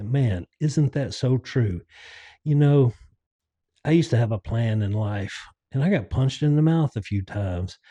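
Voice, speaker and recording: A man with a medium pitch and a dark, mellow tone speaks at a moderate pace, somewhat breathy and lively in intonation, taking long, frequent pauses, with a dry, close sound that has no echo and a quiet background. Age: 60s. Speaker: podcast host. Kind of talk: casual monologue.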